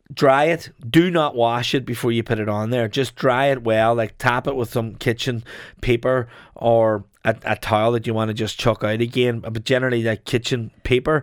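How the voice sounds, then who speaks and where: In a very clean recording with a silent background, a man with an Irish midlands accent speaks at a moderate pace, his medium pitch held in fairly even intonation. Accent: Irish midlands (Longford). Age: 40s. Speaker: chef. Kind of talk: casual chat.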